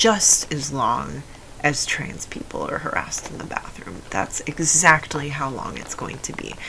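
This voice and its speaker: Against noticeable background noise, a woman talks in a very deep, low pitch with fairly even intonation. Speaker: vlogger. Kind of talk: casual monologue. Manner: halting.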